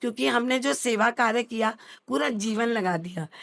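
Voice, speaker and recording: Against a quiet background, a woman talks in an unremarkable speaking voice at fairly high pitch with ordinary pitch variation. The sound is dry and close, with no echo. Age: 60s. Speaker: social worker running an old age home. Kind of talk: interview. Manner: formal.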